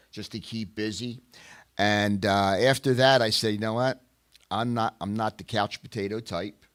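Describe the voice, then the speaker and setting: Recorded very cleanly against a silent background, the dry, close sound carries a voice with an American accent at a moderate pace and fairly even intonation. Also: man, fairly low pitch for a man. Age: 60s. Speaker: retired police officer and youth counselor. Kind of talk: casual interview. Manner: halting with fillers.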